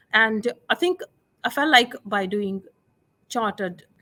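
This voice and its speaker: A woman with a non-native accent speaks at a fairly high pitch with lively intonation, her sound dry and close with no echo. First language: not English. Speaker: chemistry teacher. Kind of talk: interview. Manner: halting, with fillers.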